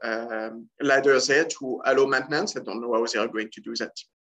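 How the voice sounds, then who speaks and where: A man speaks with a strong French accent over a quiet background. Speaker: scuba dive shop owner. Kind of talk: casual talk to camera. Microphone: webcam.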